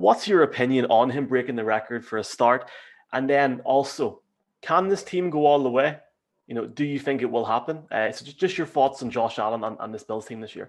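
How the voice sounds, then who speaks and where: Against a quiet background, a man with an Irish accent speaks at a fairly quick pace and medium pitch, showing ordinary pitch variation and big swings in loudness. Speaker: podcast host. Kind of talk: casual interview.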